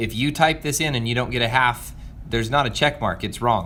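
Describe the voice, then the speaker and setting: This is a man speaking at a medium pitch. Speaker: math teacher. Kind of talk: video lesson for students. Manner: fast; hesitant fillers.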